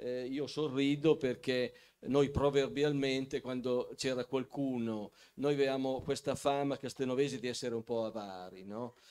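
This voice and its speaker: Over a quiet background, a man talks at a moderate pace. His medium-pitched voice keeps fairly even intonation. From Piedmont, Castelnuovo Scrivia; Piedmont. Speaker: local historian and author; talk show guest. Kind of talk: talk show interview. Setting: stage with audience. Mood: calm, lightly amused. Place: hall. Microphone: handheld.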